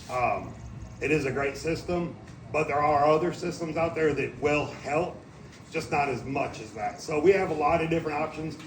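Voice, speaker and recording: With audible room echo and noticeable background noise, a man speaks at a fairly quick pace in a fairly high pitch with ordinary pitch variation. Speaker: suspension sales expert. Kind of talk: product presentation. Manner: loud.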